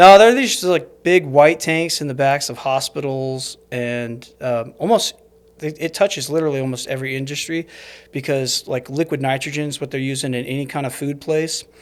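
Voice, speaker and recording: In a plain, everyday voice, a man speaks at a moderate pace with an American accent. His pitch is fairly high, with ordinary pitch variation. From Arizona (Snowflake). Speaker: investor. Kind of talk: podcast interview. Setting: studio.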